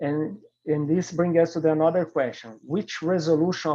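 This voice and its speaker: Against a quiet background, a man with a non-native accent speaks in a dark, mellow tone with fairly even intonation. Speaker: scientific researcher presenting a paper. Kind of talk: Q&A discussion; conference presentation. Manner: halting.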